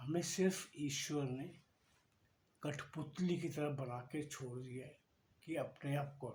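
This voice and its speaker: Audible room echo colors this recording of a man with a fairly high pitch. His voice is somewhat breathy and his intonation fairly even. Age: 60s. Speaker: devotional speaker. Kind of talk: spiritual talk. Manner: conversational.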